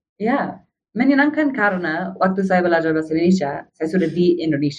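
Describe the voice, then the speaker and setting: Speaking at a moderate pace, a woman with an English accent has a fairly low pitch. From USA. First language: English (speaking Indonesian). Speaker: foreign volunteer guest. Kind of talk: podcast interview. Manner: halting.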